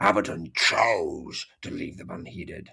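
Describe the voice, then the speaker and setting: A man's put-on character voice, growling and menacing in tone. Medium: read story. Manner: menacing, growling.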